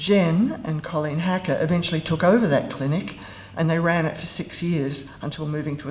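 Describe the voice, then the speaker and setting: A woman speaks at a moderate pace with a very deep, low pitch and ordinary pitch variation. Audible room echo and noticeable background noise fill the recording. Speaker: former university lecturer giving a eulogy. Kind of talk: eulogy. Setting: memorial service with audience. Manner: mumbling.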